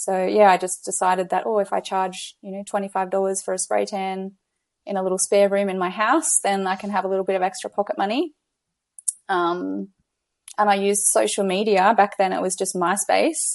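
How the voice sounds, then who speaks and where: A woman with an Australian accent at medium pitch, fairly even intonation and a fairly quick pace. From Australia, Gold Coast. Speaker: business coach. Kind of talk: casual interview chat.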